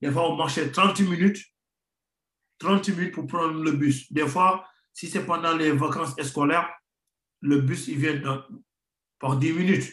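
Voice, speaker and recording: Against a quiet background with audible room echo, a man speaks at a fairly slow pace with fairly even intonation and long, frequent pauses. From Senegal, Rufisque; Senegal. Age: 30s. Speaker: professional footballer; guest. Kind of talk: interview. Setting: remote video link. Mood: calm, reflective. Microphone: video call.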